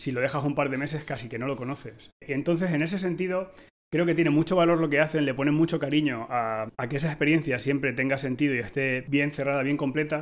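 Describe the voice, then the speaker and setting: At a very fast pace, a man talks with a fairly high pitch. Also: fairly even intonation, hardly any pauses. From Spain. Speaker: tech podcast host, designer. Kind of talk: casual panel discussion.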